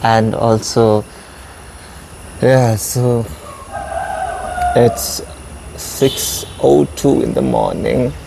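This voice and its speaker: A man speaks with an Indian accent at a very slow pace, with long, frequent pauses. Noticeable background noise is present. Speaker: vlogger. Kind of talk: casual vlog monologue. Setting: outdoors.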